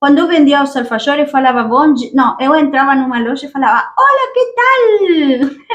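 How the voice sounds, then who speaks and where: Hardly pausing, a woman with a high pitch speaks at a moderate pace using lively intonation. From Argentina. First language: Spanish (speaking Portuguese). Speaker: YouTuber, immigrant. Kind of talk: casual chat; storytelling.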